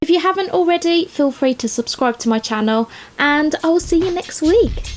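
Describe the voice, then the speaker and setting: A woman speaks with a Birmingham accent while music plays in the background. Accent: Birmingham (Brummie). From England, Birmingham. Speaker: YouTube craft creator and nail technician. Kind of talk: casual vlog narration. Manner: chatty.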